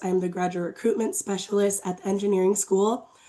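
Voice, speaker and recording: Her medium-pitched voice has a dark, mellow tone, and this woman speaks in a monotone, flat way. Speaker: university graduate recruiter. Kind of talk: presentation. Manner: hesitant with frequent fillers.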